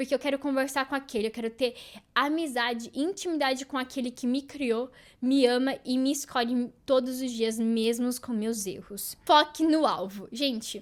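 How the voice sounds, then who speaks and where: Against a silent background in a very clean recording, a woman talks at a moderate pace with a high pitch and ordinary pitch variation. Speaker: podcast host. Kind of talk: devotional talk.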